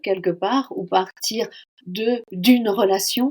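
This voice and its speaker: A woman with a fairly high pitch talks at a very slow pace, her pitch varying in an ordinary way. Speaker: founder of a workplace training organisation. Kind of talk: podcast interview answer.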